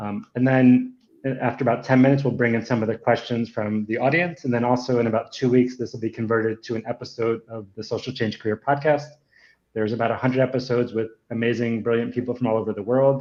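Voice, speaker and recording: Delivering his words in a monotone, flat intonation, a man speaks at a very fast pace. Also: medium pitch for a man. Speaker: podcast host. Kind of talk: livestream interview introduction.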